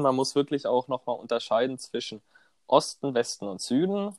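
A man's medium-pitched voice comes through dry and close, with no echo. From southern Germany, Konstanz on Lake Constance. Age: 20s. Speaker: student podcast co-host. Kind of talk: casual chat.

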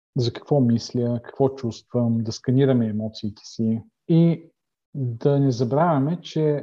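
A man's fairly high voice, dark and mellow in tone, with ordinary pitch variation and a very slow pace. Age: 50s. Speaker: life coach and former pastor. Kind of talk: interview. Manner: halting.

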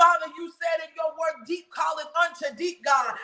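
The speaker is shouting. The pace stays moderate. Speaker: prayer leader. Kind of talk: fervent intercessory prayer with decrees and declarations. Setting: recorded prayer podcast, released weekly. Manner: urgent, impassioned, forceful; rhythmic, repetitive, addressing God directly.

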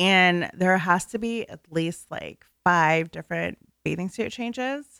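A woman with an American accent at a medium pitch, fairly slow, bright and sharp in tone, with ordinary pitch variation, big swings in loudness and a dry, close sound with no echo. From northern Virginia. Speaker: first-time guest. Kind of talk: casual chat. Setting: radio studio.

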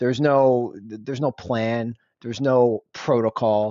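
With an American accent and a medium pitch, a man talks with fairly even intonation in an unremarkable speaking voice. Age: 30s. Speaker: parent of two, office worker. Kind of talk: casual chat.

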